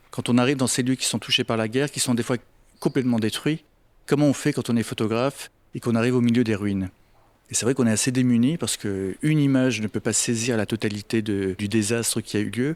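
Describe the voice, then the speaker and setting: Speaking very fast, a man keeps his intonation fairly even at a medium pitch. The recording is very clean and dry, close with no echo and a silent background. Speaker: photographer. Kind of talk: interview answer. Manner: soft-spoken.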